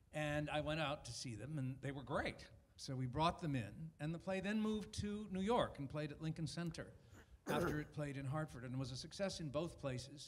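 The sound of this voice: A man with an American accent speaks at a fairly high pitch, with ordinary pitch variation. Audible room echo surrounds his voice. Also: moderate pace.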